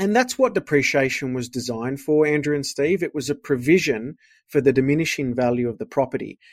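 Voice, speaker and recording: A man with an Australian accent talks at a fairly quick pace and a fairly high pitch. The sound is dry and close, with no echo, and the recording is very clean over a silent background. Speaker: accountant. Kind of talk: interview about finance.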